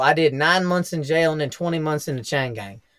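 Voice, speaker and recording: This man speaks with an American accent at a fairly high pitch, using ordinary pitch variation. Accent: Southern US, stronger when drinking. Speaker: real estate investor. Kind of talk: casual chat. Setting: podcast recording.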